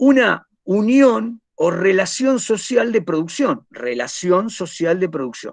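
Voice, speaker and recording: Against a quiet background, a man with a high pitch speaks at a very slow pace, swinging very widely in pitch. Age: 50s. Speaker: teacher. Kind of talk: lecture. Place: home room. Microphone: webcam.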